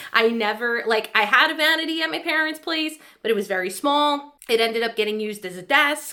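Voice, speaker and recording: Speaking at a fairly quick pace with hardly any pauses, a woman uses a fairly high pitch and a bright, sharp tone. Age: 30s. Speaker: lifestyle vlogger. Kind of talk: casual vlog update. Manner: chatty, rambling pace.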